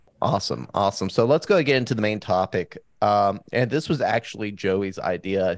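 A man speaks at a moderate pace in an unremarkable speaking voice with a fairly low pitch. The recording is very clean, with a silent background. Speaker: podcast host. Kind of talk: casual podcast chat.

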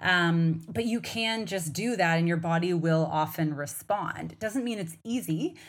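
With a normal speaking voice, a woman talks at a fairly low pitch and fairly slow pace, with ordinary pitch variation and hardly any pauses. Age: 40s. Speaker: podcast host and hormone coach. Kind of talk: solo podcast monologue. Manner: warm, conversational, direct to audience.

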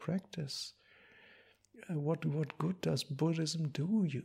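A man with a German accent, somewhat breathy, with a dark, mellow tone, fairly slow pace and fairly even intonation, in a very clean recording with a silent background. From Germany. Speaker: Buddhist monk. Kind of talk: dharma talk. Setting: monastery. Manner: halting.

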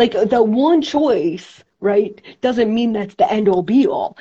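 Somewhat breathy and fairly high, a woman's voice moves at a fairly slow pace with lively intonation. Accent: New York. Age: 40s. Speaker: women's empowerment coach and show host. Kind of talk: casual interview chat. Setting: video call, live stream. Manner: warm, chatty, animated.

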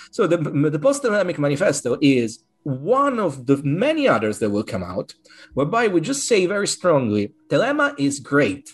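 A man with an Italian accent at a moderate pace, his pitch swinging very widely. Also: fairly high pitch for a man. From Italy (Rome). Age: 40s. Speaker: occultist author and order coordinator. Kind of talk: interview. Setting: video call.

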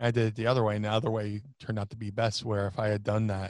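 A man talks very fast at medium pitch with an American accent. The sound is dry and close with no echo, over a quiet background. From US Northeast (South Jersey). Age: 40s. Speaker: professional wrestler. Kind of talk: interview, casual chat. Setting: remote call across time zones.

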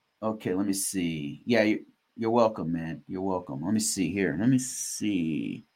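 A man with an unremarkable speaking voice talks at a fairly slow pace in a fairly low pitch with ordinary pitch variation, on a very clean recording with a silent background. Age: 40s. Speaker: cybersecurity podcast host. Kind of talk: casual livestream Q&A. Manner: casual, filler-heavy with repetitions.

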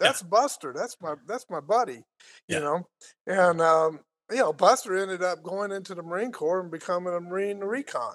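At a fairly quick pace, a man speaks in a high pitch with ordinary variation against a quiet background. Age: 60s. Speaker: podcast co-host. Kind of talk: casual chat.

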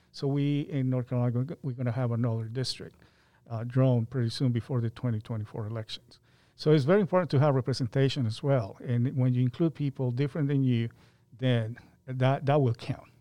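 At a fairly quick pace, a man with a Spanish accent speaks in a dark, mellow tone with ordinary pitch variation. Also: medium pitch for a man. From Colombia (Medellin). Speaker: county transportation planner. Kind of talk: interview.

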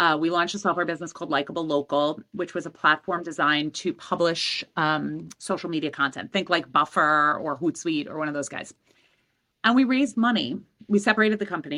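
Over a quiet background, a woman with an American accent speaks at a fairly quick pace in a fairly low pitch, her tone bright and sharp and her pitch variation ordinary. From Queens, New York City. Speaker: entrepreneur. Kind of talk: casual chat.

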